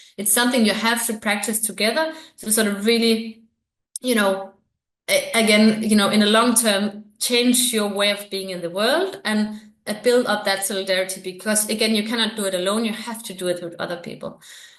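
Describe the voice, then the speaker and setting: With a Danish accent, a woman talks at a fairly quick pace, her fairly high pitch held in fairly even intonation. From Denmark. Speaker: researcher. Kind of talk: interview. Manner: hesitant, many fillers.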